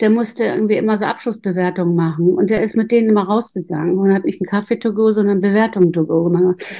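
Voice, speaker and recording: A woman speaks in an unremarkable speaking voice at medium pitch, with ordinary pitch variation. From northern Germany. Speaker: intuition coach. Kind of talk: interview.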